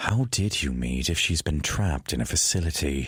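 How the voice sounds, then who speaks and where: Using a put-on character voice, a man speaks at a moderate pace with very deep, low pitch and lively intonation. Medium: read story.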